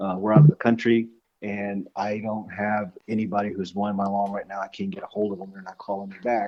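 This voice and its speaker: A man with a fairly low pitch and a dark, mellow tone talks at a fairly quick pace in a monotone, flat intonation, his loudness swinging widely. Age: 60s. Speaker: lawn care business owner. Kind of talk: casual interview chat. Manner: halting, many fillers and repeats.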